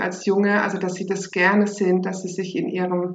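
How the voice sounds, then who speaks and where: A woman delivers her words in a monotone, flat intonation at a moderate pace. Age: 40s. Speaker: teacher and sex education course leader. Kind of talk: interview, casual chat.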